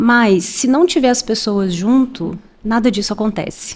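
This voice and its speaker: A woman speaks in a Minas Gerais accent. Her pace is fairly slow and her pitch variation ordinary. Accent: Minas Gerais (mineiro). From Minas Gerais, Brazil (Belo Horizonte). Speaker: HR manager. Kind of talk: podcast interview.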